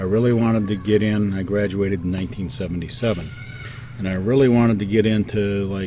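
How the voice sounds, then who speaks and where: Over noticeable background noise and audible room echo, a man with an American accent talks at a very fast pace in a fairly low voice with fairly even intonation. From Detroit area, Michigan. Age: 50s. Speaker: interviewee. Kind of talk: interview. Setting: outdoors.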